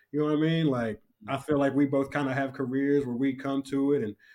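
This man has an ordinary speaking voice, a fairly high pitch and fairly even intonation. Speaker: hip-hop artist and barber. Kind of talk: casual interview chat.

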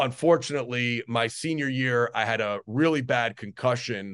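Over a quiet background, a man with an American accent talks at a fairly slow pace and a medium pitch, with ordinary pitch variation. The sound is dry and close with no echo, and it is a plain, everyday voice. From US Northeast, New Jersey. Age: 40s. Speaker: strength and conditioning coach. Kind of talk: podcast interview.

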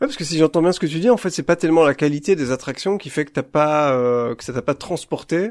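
A man with a plain, everyday voice talks fairly quickly at a fairly high pitch, barely pausing and swinging widely in loudness. The recording is very clean and dry, close with no echo, over a silent background. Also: ordinary pitch variation. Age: 40s. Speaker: podcast host. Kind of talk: casual chat.

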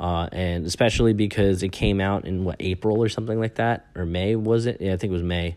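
Speaking at a fairly quick pace, a man with an American accent has a very deep, low pitch. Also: hardly any pauses. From US Northeast, Long Island, New York. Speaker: podcast host, English teacher. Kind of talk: casual solo monologue. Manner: casual, many filler words.

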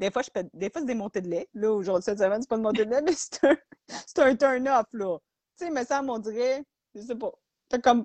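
A woman speaks with a Quebec accent. Her pace is fairly quick. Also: fairly high pitch for a woman, lively intonation. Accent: Québécois French. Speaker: podcast co-host. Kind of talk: casual chat.

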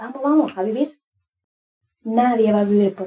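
A woman's somewhat breathy, dark and mellow voice, fairly high in pitch, at a moderate pace with ordinary pitch variation. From Dominican Republic, Cibao region. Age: 30s. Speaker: podcast host, inspirational speaker. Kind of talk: motivational monologue. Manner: animated.

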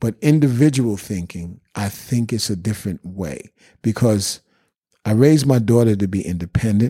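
Speaking in a New York accent, a man with a medium pitch has a dark, mellow tone and lively intonation. He talks at a fairly slow pace, and the sound is dry and close with no echo. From Bronx, New York. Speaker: drummer. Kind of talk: casual chat.

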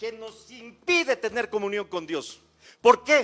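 Raised, projected male voice, its tone bright and sharp. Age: 60s. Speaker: guest preacher. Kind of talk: sermon; testimony. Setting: church.

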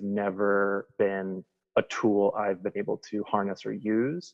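With an American accent, a man speaks fairly slowly in a fairly low voice with fairly even intonation. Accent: slight Midwestern twang, comes and goes. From Wisconsin. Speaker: guest sharing recovery story. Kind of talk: casual conversation.

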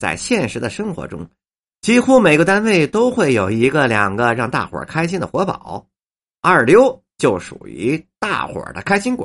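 This man has a Beijing accent and a fairly high pitch with vocal fry. His pitch swings very widely and his loudness shifts a lot. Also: moderate pace. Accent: Beijing Mandarin. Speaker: writer and storyteller. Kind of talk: scripted narration.

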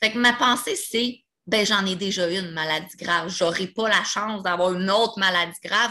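Medium in pitch and moderate in pace, this woman uses an ordinary speaking voice. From Quebec, Repentigny. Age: 20s. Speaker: person living with multiple sclerosis. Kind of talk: casual interview conversation.

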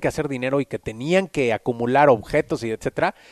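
A man with a Mexican accent talks at a moderate pace. The sound is dry and close, with no echo. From Mexico City. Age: 30s. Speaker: personal branding coach. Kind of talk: casual interview.

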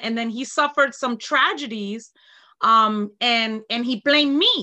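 A woman speaks with an American accent in a high pitch. Her tone is bright and sharp, and the background is quiet. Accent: New York, comes out at times. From New York. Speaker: fitness instructor, retired corrections officer. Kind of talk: casual interview.

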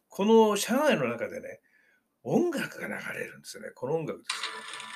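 A man at a moderate pace. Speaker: podcast host, retiree traveling the world. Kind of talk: travel diary narration.

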